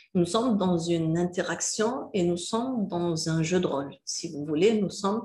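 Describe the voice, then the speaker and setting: A woman with a dark, mellow tone speaks at a fairly low pitch, somewhat breathy. She hardly pauses, and the room echo is audible. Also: ordinary pitch variation, fairly slow pace. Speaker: university lecturer. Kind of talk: recorded lecture. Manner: halting, many filler hesitations.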